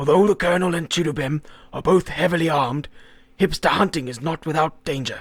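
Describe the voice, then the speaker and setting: A raspy put-on character voice from a man, fairly high in pitch and at a fairly quick pace. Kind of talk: mock wildlife documentary narration. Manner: calm, measured nature-documentary style.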